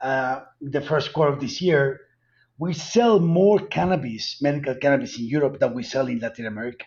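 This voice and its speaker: In a strong Colombian accent, a man speaks at a moderate pace with a fairly high pitch, lively intonation and a somewhat breathy voice. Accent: heavy Colombian Spanish. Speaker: cannabis company executive. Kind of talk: interview.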